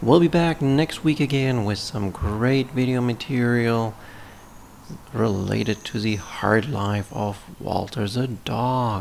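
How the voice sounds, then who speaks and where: A man at a very slow pace, with ordinary pitch variation and light background noise. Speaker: channel host. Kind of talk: scripted channel intro narration.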